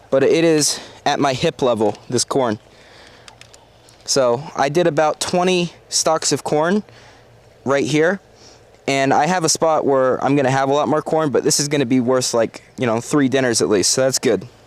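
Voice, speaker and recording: A man's fairly high-pitched voice at a moderate pace, with long, frequent pauses, very even loudness and noticeable background noise. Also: ordinary pitch variation. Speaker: gardening vlogger. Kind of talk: garden walkthrough vlog. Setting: outdoors in garden.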